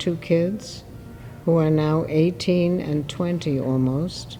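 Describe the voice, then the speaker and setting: A woman talks at a fairly slow pace in a fairly low pitch. Noticeable background noise runs behind her. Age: 80s+. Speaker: interviewee, retiree. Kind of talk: interview.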